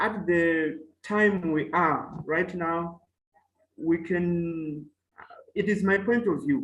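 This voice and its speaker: A man's high voice with a Malawian accent, very slow pace and ordinary pitch variation. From Mozambique. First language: Chewa. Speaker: professor. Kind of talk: webinar talk. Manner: halting.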